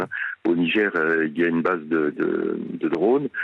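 A man at a moderate pace. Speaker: retired army general, military analyst. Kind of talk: radio interview.

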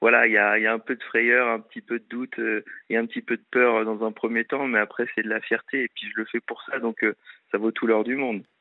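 A man at a medium pitch speaks at a moderate pace with monotone, flat intonation. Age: 20s. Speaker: TV adventure show presenter. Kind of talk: casual chat.

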